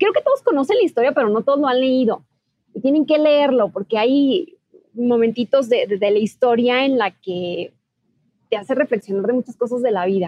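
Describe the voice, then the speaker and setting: A woman talks at a moderate pace in a high voice with lively intonation. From Mexico, Ciudad Juárez, Chihuahua. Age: 30s. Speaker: TV news journalist. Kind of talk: interview.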